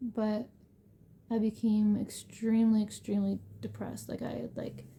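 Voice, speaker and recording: A soft-spoken woman talks at a fairly slow pace. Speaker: homemaker sharing her faith testimony. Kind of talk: testimony. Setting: at home late at night. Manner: halting.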